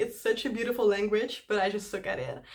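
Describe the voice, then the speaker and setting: A woman with a Dutch accent speaks with fairly even intonation. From Netherlands. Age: 20s. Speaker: YouTube cover singer. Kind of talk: casual Q&A chat to camera.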